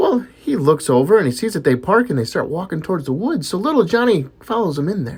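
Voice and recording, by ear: A passage is read out loud. The delivery is natural.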